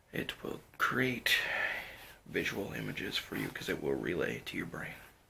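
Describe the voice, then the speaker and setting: Keeping to a moderate pace, this voice is soft-spoken. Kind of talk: ASMR roleplay, emergency eye surgery. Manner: softly spoken.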